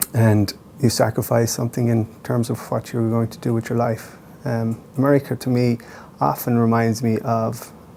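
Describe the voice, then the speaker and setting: Speaking in an Irish accent at a moderate pace, a man keeps a medium pitch and a monotone, flat intonation. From Ireland. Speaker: playwright. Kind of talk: interview. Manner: thoughtful with frequent hesitations.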